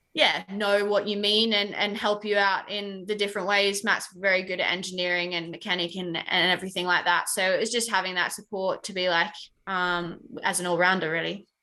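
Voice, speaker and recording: A woman's bright, sharp voice in a monotone, flat intonation. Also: medium pitch for a woman. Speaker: racing driver. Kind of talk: podcast interview.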